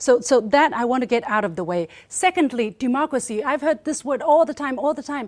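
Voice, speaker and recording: A woman's high, animated voice in a Chinese accent, at a fairly quick pace, in a very clean recording with a silent background. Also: lively intonation. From China. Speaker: state media journalist. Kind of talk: panel debate speech. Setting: forum with audience.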